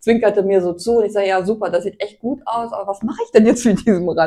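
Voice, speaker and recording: A woman speaks with a dark, mellow tone. Her pace is fairly quick. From northern Germany, Hanover region. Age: 60s. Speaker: amateur road cyclist. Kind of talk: casual interview chat. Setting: kitchen.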